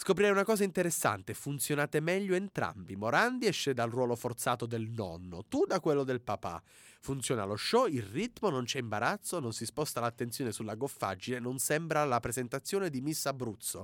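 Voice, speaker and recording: The recording is very clean and silent in the background, with a dry, close sound and no echo. A man of medium pitch speaks at a fairly quick pace with very wide pitch swings. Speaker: student radio host. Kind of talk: reading prepared humorous reviews.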